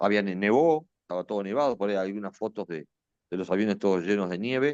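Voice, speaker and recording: Speech comes at a moderate pace in an Argentine accent. The sound is dry and close with no echo, over a quiet background. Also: man. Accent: Rioplatense Argentine Spanish. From Argentina, Buenos Aires. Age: 60s. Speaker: retired air force officer and war veteran. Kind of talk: interview testimony. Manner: hesitant, with many fillers and restarts.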